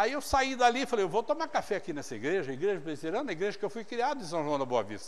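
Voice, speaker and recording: Very fast and with hardly any pauses, a man talks at a high pitch in an animated tone with very wide pitch swings. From interior of São Paulo state, Brazil. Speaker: pastor. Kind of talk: sermon. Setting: church.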